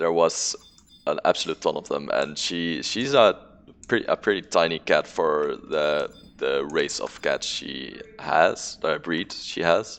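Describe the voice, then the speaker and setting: A man speaks with a strong non-native accent. His pace is very slow. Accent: thick non-native English. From non-English-speaking country. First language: not English. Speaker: video game streamer. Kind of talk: casual live-stream chat. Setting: live stream. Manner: hesitant with many fillers.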